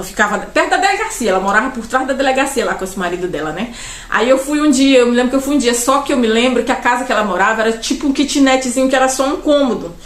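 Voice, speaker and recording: Loud and very fast, a woman talks at a high pitch with lively intonation, amid noticeable background noise and audible room echo. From Brazil, Pará. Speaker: vlogger. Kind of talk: personal storytelling monologue. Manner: rambling, conversational with fillers.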